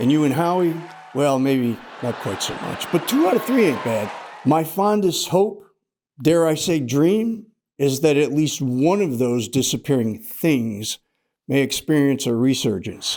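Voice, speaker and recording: Speaking with an American accent, a man has a fairly high pitch and lively intonation. He talks at a fairly slow pace with audible room echo. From US Northeast, Rochester, New York. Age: 70s. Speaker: comedian, retired teacher. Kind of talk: stand-up. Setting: stage with audience.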